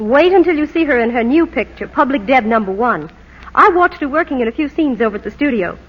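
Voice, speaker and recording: A woman speaks at a very fast pace in a high pitch, with very wide pitch swings. Noticeable background noise sits behind her. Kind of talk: vintage radio commercial dialogue. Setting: archival old-time radio broadcast recording.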